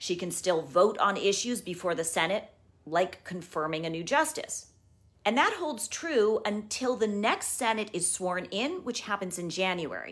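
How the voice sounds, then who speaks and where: At a moderate pace and medium pitch, a woman speaks in a calm tone with lively intonation. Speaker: news journalist. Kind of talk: news explainer to camera. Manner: calm, clear. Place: home room. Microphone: phone near.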